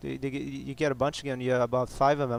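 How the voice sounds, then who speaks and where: A man with a French Canadian accent speaks at medium pitch in a monotone, flat intonation. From Quebec. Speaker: game commentator. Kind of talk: live game commentary. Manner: halting, many fillers.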